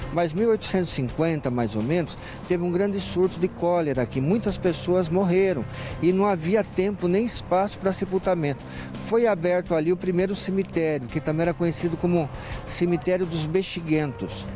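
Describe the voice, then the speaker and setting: A man speaks in a high pitch at a moderate pace with ordinary pitch variation. Music plays in the background, and the sound is dry with no echo. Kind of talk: interview answer. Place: street. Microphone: handheld.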